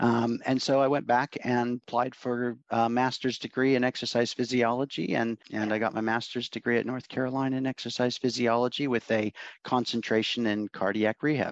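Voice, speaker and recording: A man at medium pitch with an American accent, fairly quick pace, hardly any pauses, and monotone, flat intonation. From Oregon, US. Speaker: university lecturer. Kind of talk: casual interview.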